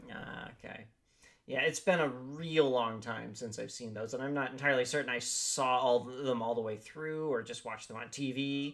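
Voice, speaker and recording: Fairly even in intonation but with big swings in loudness, a man speaks at medium pitch and a moderate pace. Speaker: podcast co-host. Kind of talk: casual chat.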